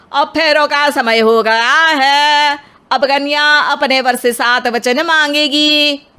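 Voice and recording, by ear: A woman talks slowly in a put-on character voice, high-pitched with a bright, sharp tone. Her intonation stays fairly even.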